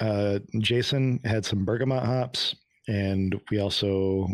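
In a very clean recording with a silent background, a man talks in a fairly low pitch with ordinary pitch variation and a plain, everyday voice. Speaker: podcast host. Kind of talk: casual chat.

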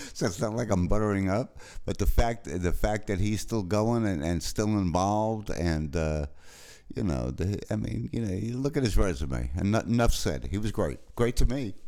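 A man speaks with a New York accent and a dark, mellow tone. He keeps a moderate pace. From New York City. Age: 60s. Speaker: musician and film music supervisor. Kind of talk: interview. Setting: remote call, recorded locally.

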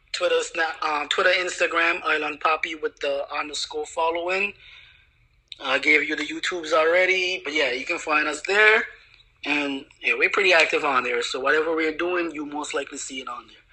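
The speech moves at a moderate pace with big swings in loudness. Noticeable background noise runs underneath. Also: man. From Anguilla. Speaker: YouTuber. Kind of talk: casual chat.

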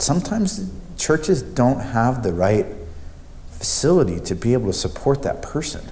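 Speaking at a moderate pace and medium pitch, a man uses very wide pitch swings over noticeable background noise. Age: 30s. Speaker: podcast interviewer. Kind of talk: casual interview chat.

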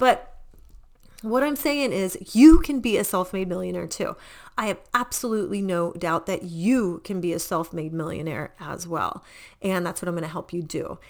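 On a very clean recording with a silent background, a woman with a General American accent talks at a moderate pace and a medium pitch, in an animated tone with lively intonation. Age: 40s. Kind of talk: infomercial-style sales pitch. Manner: excitable, animated, chatty; salesy, urgent, pushing a deadline offer.

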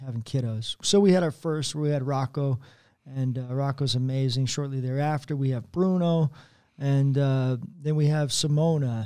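A man with a normal speaking voice, fairly high in pitch and fairly even in intonation, talks at a moderate pace on a very clean recording with a silent background. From Colorado, US. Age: 40s. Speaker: youth pastor. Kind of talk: casual chat.

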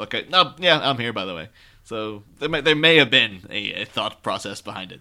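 A man's bright, sharp voice in an Irish accent, on a very clean recording with a silent background. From Ireland. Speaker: podcast host guest. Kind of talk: casual chat.

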